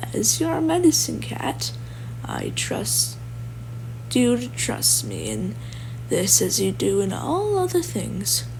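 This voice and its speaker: A man speaks quietly in a put-on character voice, raspy and very deep, at a fairly slow pace with long, frequent pauses over clear background noise. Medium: read story. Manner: calm, authoritative.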